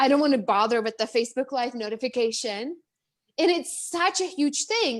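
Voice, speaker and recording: With lively intonation and an animated tone, a woman with a high pitch talks at a fairly quick pace. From Czech Republic. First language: Czech. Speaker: business coach. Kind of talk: interview. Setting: live video stream. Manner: fast, animated.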